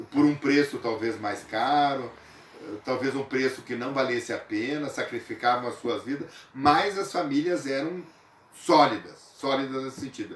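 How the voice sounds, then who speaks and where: Noticeable background noise sits behind this man. His pitch is fairly high, with ordinary variation. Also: moderate pace. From southern Brazil, western Santa Catarina. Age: 60s. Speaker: local cultural figure interviewed. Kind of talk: interview. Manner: hesitant, with filler sounds.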